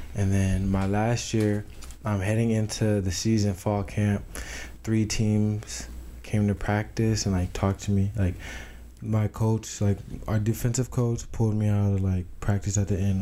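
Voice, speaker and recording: A man with an American accent, a fairly low, dark and mellow voice, fairly even intonation, very even loudness and a moderate pace. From Tucson, Arizona. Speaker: college football player. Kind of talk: casual interview. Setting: small apartment studio. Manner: halting, many fillers.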